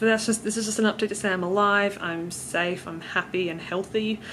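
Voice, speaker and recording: At a very fast pace, a woman with a strong Australian accent speaks in a monotone, flat intonation at a medium pitch. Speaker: vlogger. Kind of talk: travel vlog. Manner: casual, hesitant with fillers.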